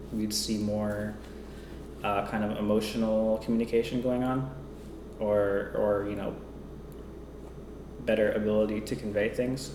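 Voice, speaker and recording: A man talks at a moderate pace with a medium pitch. Audible room echo surrounds his voice. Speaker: vlogger. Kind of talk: personal vlog monologue. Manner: monotone; hesitant, many fillers.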